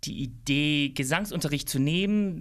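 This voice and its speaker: A man at a fairly high pitch with an unremarkable speaking voice, a moderate pace, ordinary pitch variation, and a very clean recording with a silent background. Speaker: singer, former dancer. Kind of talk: interview.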